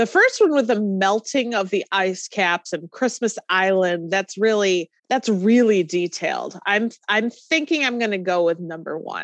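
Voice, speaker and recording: A woman speaks in a plain, everyday voice with ordinary pitch variation, the sound dry and close with no echo. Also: medium pitch for a woman, fairly slow pace. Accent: American. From New York. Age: 30s. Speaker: trivia game contestant. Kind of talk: casual chat.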